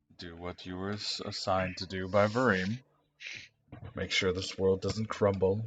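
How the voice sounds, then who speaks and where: In a put-on character voice, a man speaks at a very deep, low pitch with monotone, flat intonation. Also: moderate pace. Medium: actual play. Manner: calm, grave, terse.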